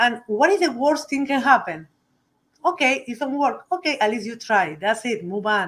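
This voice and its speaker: A high-pitched woman's voice with a strong Uruguayan accent, very wide pitch swings and a moderate pace, on a very clean recording with a silent background. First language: Spanish. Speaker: cigar company CEO. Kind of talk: interview.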